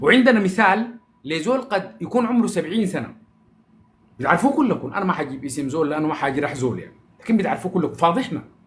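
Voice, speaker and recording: Speaking in a Sudanese accent, a man uses an animated tone and a high pitch with very wide pitch swings at a moderate pace. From Sudan, Omdurman. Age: 40s. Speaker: social media personality. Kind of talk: casual live-stream monologue.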